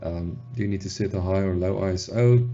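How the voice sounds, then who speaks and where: A man's monotone, flat voice against noticeable background noise. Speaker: photographer. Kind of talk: tutorial talk to camera. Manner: casual, hesitant with fillers.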